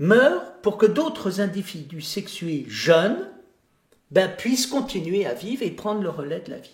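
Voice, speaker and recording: Speaking at a very slow pace, a man with a high pitch uses lively intonation. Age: 70s. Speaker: philosopher and theologian. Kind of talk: interview conversation.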